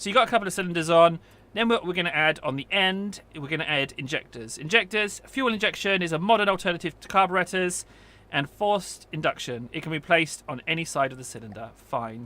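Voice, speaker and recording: A man's high, bright, sharp voice at a very fast pace, with lively intonation and big swings in loudness. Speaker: gaming youtuber. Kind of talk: gameplay tutorial. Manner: casual, chatty.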